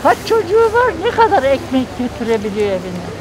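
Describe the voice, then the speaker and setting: The speech moves at a fairly slow pace with crowd noise in the background. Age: 70s. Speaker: passer-by interviewed on the street. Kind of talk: street interview.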